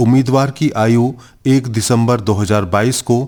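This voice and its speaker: He has an unremarkable speaking voice at medium pitch. This man shows ordinary pitch variation. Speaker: radio announcer. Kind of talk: radio announcement / public notice.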